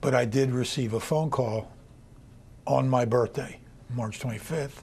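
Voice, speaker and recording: Using a plain, everyday voice, a man speaks at medium pitch and a fairly slow pace with fairly even intonation. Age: 60s. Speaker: kidney transplant recipient. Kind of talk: interview.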